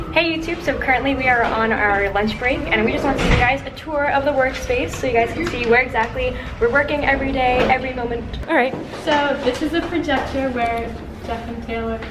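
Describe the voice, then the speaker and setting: A woman talks fairly quickly while loud background noise plays. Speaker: vlogger. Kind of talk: casual vlog chat. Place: office. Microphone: phone near.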